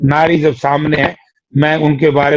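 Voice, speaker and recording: A plain, everyday voice from a man, fairly high in pitch. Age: 60s. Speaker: politician, former MP and MLA. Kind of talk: political interview.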